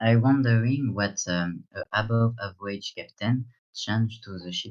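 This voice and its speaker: A man with a strong French accent speaks with big swings in loudness. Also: medium pitch for a man, fairly even intonation, moderate pace. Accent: thick French. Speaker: guest gamer. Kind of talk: casual chat. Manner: halting.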